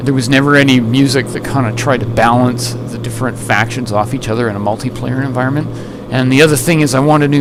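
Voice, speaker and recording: A soft-spoken man talks at a very fast pace in a medium pitch with monotone, flat intonation, with music in the background and audible room echo. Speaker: gaming channel commentator. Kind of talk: casual commentary. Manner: halting.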